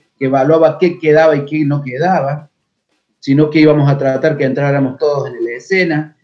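A man talks in a normal speaking voice. His pitch is fairly high and his pace moderate. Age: 40s. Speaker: folk dancer and dance teacher. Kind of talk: interview.

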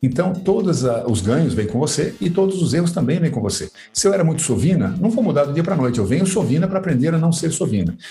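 Very fast speech with very wide pitch swings over music in the background. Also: man. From Brazil, Sorocaba, São Paulo state. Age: 50s. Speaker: author. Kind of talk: casual chat.

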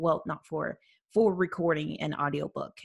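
This woman has a plain, everyday voice, pitched fairly low, with ordinary pitch variation. She talks at a moderate pace on a very clean recording with a silent background. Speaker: indie author podcast host. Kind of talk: casual chat.

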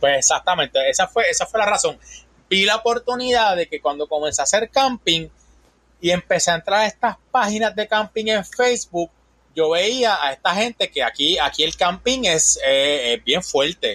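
A man with a Puerto Rican accent projects a raised, high-pitched voice with a bright, sharp tone at a moderate pace. His intonation is lively, his loudness very even, and the sound dry and close with no echo. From Puerto Rico. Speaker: van-life content creator. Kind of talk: casual chat.

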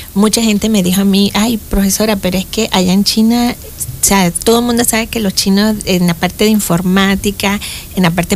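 Over noticeable background noise, a woman speaks at a medium pitch in a monotone, flat intonation with very even loudness. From Panama, Boquete (Chiriquí). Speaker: engineering professor. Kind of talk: interview.

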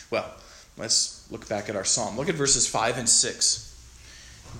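Very slowly, a man talks amid noticeable background noise and audible room echo. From Montana. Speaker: guest pastor. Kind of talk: sermon.

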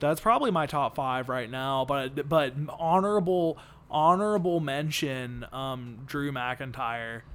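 A man talks at a fairly slow pace in a normal speaking voice, his pitch fairly high with ordinary variation. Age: 20s. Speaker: wrestling podcast co-host. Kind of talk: casual chat.

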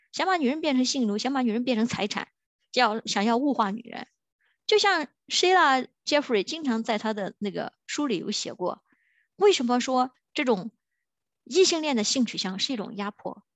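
Her voice is high-pitched, with an animated tone and lively intonation. She speaks at a moderate pace. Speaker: podcast host. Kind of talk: solo monologue rant. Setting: recording at work during lunch break.

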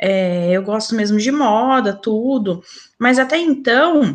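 Her pitch sits fairly high for a woman. The intonation moves in a lively way. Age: 30s. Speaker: podcast guest, mother. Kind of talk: casual chat.

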